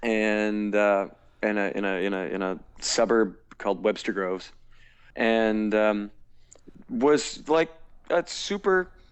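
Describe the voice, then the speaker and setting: A man with a fairly low voice speaks very slowly, leaving long and frequent pauses, with ordinary variation in pitch. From US Midwest, St. Louis, Missouri. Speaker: musical theatre actor and singer. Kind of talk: casual interview chat. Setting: Skype call. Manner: halting, many repeated words.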